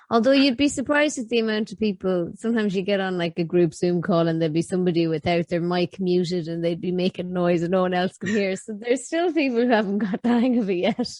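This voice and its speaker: Noticeable background noise sits under a woman speaking at a medium pitch. She talks at a very fast pace with ordinary pitch variation. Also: hardly any pauses. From Ireland, County Mayo. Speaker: YouTuber. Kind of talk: casual chat.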